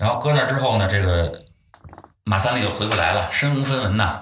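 A man with a normal speaking voice talks at a fairly low pitch. His intonation is lively and his loudness very even. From Beijing. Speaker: folk culture enthusiast. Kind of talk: casual chat.

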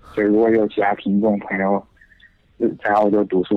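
A man's fairly low voice at a fairly quick pace, monotone and flat in intonation. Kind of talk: casual chat. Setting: phone call.

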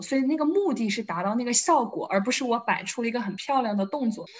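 A woman with an unremarkable speaking voice talks at a fairly quick pace, with ordinary pitch variation. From Wuhan, China. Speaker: fitness enthusiast. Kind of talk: casual chat.

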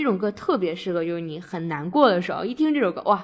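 A woman talks at a medium pitch, her intonation lively. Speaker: podcast host. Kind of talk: casual chat.

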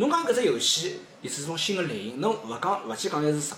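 Music plays behind a man whose voice makes very wide pitch swings, with audible room echo. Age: 30s. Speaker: gamer guest. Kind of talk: casual chat.

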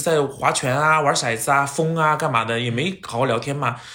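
With noticeable background noise and audible room echo, a man talks in an animated tone at a fairly high pitch. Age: 30s. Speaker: TV host and actor. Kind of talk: casual chat. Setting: at home.

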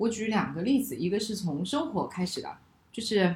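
A woman talks at a moderate pace and medium pitch, with lively intonation. It is a plain, everyday voice. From China. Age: 30s. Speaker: podcast host. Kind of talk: casual chat.

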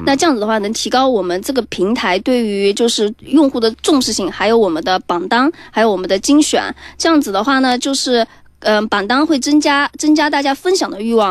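With an energetic tone and lively intonation, a woman speaks at a high pitch and a fairly quick pace. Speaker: startup founder. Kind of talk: startup pitch interview. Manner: lively, energetic.

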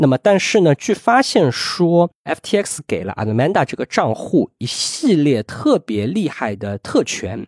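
This man's pitch swings very widely as he talks at a moderate pace, recorded with a dry, close sound and no echo. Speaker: legal professional. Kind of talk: casual chat. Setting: video call.

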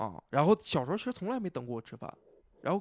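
A man with a northeastern Chinese accent talks at a very fast clip, his voice dry and close with no echo at all. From Northeast China, Nenjiang, Heilongjiang. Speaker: stand-up comedian. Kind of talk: casual chat. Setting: venue in Wuhan.

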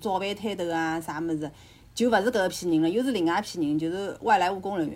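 Normal ups and downs in pitch mark this very rapid speech. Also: woman. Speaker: podcast guest. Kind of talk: casual chat.

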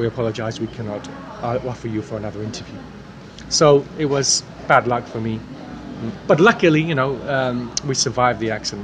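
Against noticeable background noise, a man with an East Anglian accent talks at a medium pitch and a fairly quick pace, broken by long, frequent pauses. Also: ordinary pitch variation. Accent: British English, East Anglian. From England, King's Lynn, Norfolk. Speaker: mock exam candidate, native speaker. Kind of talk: mock speaking exam answers. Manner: hesitant, many fillers.

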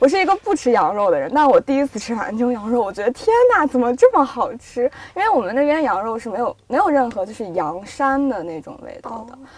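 At a fairly quick pace with hardly any pauses, a woman speaks in a high pitch with very wide pitch swings and big swings in loudness over noticeable background noise. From northwest China, Yinchuan. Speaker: magazine editor. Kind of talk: casual chat.

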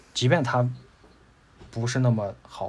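A somewhat breathy man at a medium pitch. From Tianshui, Gansu, northwest China. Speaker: graphic designer, podcast guest. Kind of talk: casual interview chat.

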